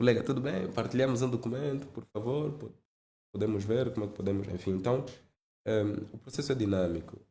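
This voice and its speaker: Somewhat breathy and dark, mellow in tone, this man's medium-pitched voice moves at a fairly quick pace. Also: ordinary pitch variation. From Angola, Zaire province. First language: Lingala and Kikongo (speaking Portuguese). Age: 30s. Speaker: finance executive. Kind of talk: podcast interview.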